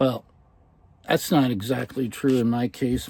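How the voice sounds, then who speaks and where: A man speaks at a moderate pace with an American accent, his pitch medium. His tone is dark and mellow, and his intonation stays fairly even. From Philadelphia, US Northeast. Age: 60s. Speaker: artist and vlogger. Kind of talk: casual vlog talk to camera. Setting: inside a motor home. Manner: halting, many fillers.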